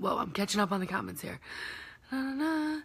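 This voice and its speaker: There's a somewhat breathy quality to this woman's voice. She talks with an American accent. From Michigan. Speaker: heart patient vlogger. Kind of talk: live video Q&A. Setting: live stream reading comments. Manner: casual with many fillers.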